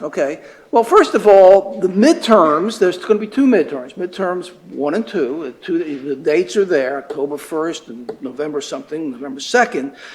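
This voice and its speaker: Barely pausing, a man talks with very wide pitch swings and big swings in loudness. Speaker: professor. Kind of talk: lecture. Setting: classroom with students. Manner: fast; halting, many fillers and repeats.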